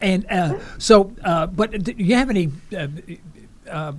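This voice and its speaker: In a New York accent, a man speaks at a high pitch. His pitch variation is ordinary. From New York City (Harlem). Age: 70s. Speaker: radio host. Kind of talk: radio interview. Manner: halting.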